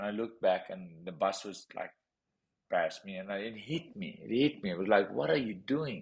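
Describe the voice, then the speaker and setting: Lively in intonation, a man with a South African accent speaks at a moderate pace. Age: 30s. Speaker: professional boxer. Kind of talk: interview storytelling. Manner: animated.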